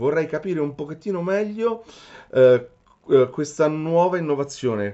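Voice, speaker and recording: A man in an Italian accent speaks with lively intonation. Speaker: metal detector shop owner and interviewer. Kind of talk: interview. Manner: halting.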